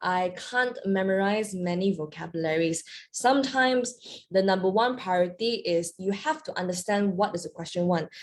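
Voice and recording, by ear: A woman at a medium pitch and moderate pace, with ordinary pitch variation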